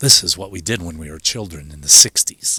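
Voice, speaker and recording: Bright and sharp in tone, the voice carries a Chicago accent, a fairly quick pace and lively intonation in a dry, close sound with no echo. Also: man. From Chicago, southeast side. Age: 60s. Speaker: video show host. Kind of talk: casual monologue. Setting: outdoors.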